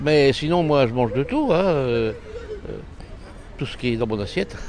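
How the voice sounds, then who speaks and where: There is noticeable background noise as a man speaks at a medium pitch and a moderate pace. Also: ordinary pitch variation. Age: 80s. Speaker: elderly interviewee. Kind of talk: street interview.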